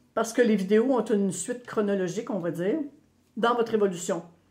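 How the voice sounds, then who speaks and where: Speaking with a Quebec accent, a woman talks in an animated tone at a moderate pace. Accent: Québécois. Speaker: spiritual medium. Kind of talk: channeled spiritual talk to viewers.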